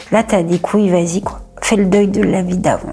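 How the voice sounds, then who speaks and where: Over noticeable background noise, the speaker keeps a moderate pace and fairly even intonation. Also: woman. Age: 40s. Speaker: stroke survivor. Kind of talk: testimony. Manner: halting; casual.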